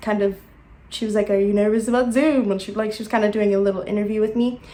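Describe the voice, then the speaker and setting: This woman has a fairly high pitch. Her intonation stays fairly even. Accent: American. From South Africa. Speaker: YouTuber. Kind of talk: casual vlog monologue. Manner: hesitant, many fillers.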